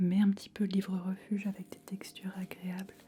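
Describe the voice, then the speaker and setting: A soft-spoken, relaxed voice at a moderate pace. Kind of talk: casual ASMR talk to camera while showing fabric samples. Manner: soft-spoken, relaxed, thoughtful.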